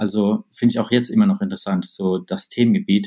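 In a medium pitch with a dark, mellow tone, a man speaks at a fairly quick pace using very wide pitch swings. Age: 20s. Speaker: startup founder. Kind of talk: interview. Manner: hesitant, many fillers.

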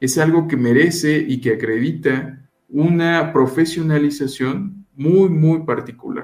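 A man's fairly high voice at a very slow pace, with hardly any pauses and ordinary pitch variation. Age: 30s. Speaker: intellectual property consultant. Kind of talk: radio interview. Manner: formal.

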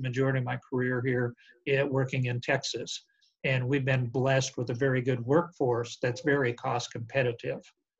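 A man's somewhat breathy, medium-pitched voice with an American accent. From Montana, US. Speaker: construction executive. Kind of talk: interview. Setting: video call.

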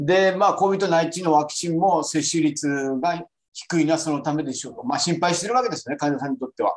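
Fairly quick delivery from a man, pitch varying in an ordinary way. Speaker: physician presenting a journal paper. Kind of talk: online journal club presentation. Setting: video call.

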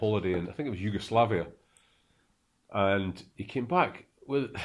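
This man speaks with a Scottish accent. His pitch varies in an ordinary way. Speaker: podcast host. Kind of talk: casual chat.

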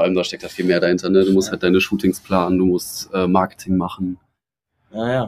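This man's pitch is very deep and low, and his intonation is monotone and flat. He talks at a very fast pace. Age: 20s. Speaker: fashion brand founder. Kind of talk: casual chat. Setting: outdoors on a balcony.

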